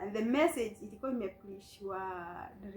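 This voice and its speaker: Against noticeable background noise, a woman talks at a medium pitch. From Kenya. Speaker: vlogger sharing life story. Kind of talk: personal testimony. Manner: code-switching English and Swahili.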